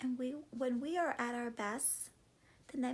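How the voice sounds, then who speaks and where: At a moderate pace, a woman talks in a warm tone at a high pitch. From US, Cuban-American family. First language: Spanish. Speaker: vlogger and classroom teacher. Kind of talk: motivational vlog talk. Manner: warm, conversational.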